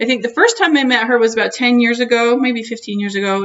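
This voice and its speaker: The speaker is a woman with a fairly high pitch. Her intonation stays fairly even. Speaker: video blogger. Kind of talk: casual interview. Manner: loud.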